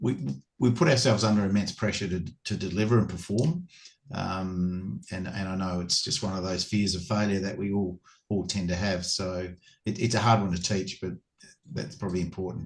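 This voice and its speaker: Very deep and low in pitch, this man speaks with an Australian accent. His pace is moderate, with ordinary pitch variation. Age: 60s. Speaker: former cricketer and cricket coach. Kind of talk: casual interview. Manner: halting, many repetitions.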